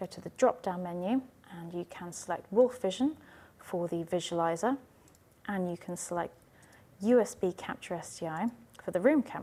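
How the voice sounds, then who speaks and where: Soft-spoken and at a moderate pace, a woman uses lively intonation at a medium pitch. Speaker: IT trainer. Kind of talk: tutorial. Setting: university teaching room.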